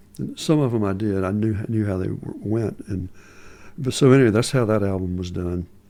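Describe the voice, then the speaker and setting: A man speaks at a fairly quick pace in a Southern accent, his fairly low voice carrying a dark, mellow tone. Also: ordinary pitch variation. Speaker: musician and filmmaker. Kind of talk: casual interview chat. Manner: halting.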